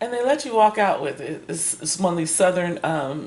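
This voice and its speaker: A woman speaks with a fairly low pitch. Noticeable background noise runs throughout. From Kansas. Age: 60s. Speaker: book reviewer. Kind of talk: casual chat. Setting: livestream. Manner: animated; halting.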